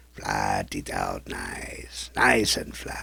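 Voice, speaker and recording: A very slowly paced, put-on character voice with a raspy edge. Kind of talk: mock cooking show hosting. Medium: puppet. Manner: haughty, condescending.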